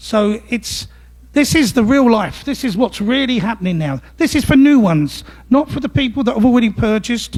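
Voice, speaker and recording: The speech moves at a moderate speed. Its intonation is lively. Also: man, extremely high pitch for a man. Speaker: legal services manager giving a talk. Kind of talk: presentation to a club audience.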